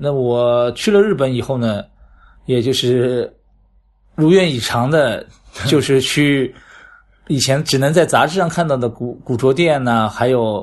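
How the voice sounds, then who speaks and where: Over a quiet background, a man talks at a fairly slow pace with long, frequent pauses. His pitch sits in the medium range with ordinary variation. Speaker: flea market organizer. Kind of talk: casual interview. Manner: hesitant, many fillers.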